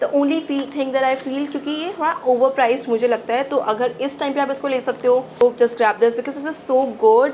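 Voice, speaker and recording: Amid noticeable background noise, a woman with a high pitch talks with hardly any pauses. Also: fairly quick pace. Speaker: beauty youtuber. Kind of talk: product review. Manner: fast; animated.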